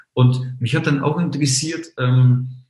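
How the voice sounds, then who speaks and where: A man talks at a moderate pace with a medium pitch and a somewhat breathy voice. Audible room echo surrounds the recording. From Munich, Bavaria. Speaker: online marketing entrepreneur, travel portal founder. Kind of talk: podcast interview.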